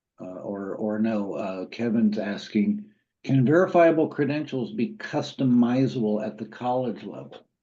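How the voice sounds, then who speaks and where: With music in the background, a man speaks at a moderate pace in a medium pitch and an American accent, with lively intonation and big swings in loudness. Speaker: university credentials program lead. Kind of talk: webinar Q&A answer. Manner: conversational with frequent fillers.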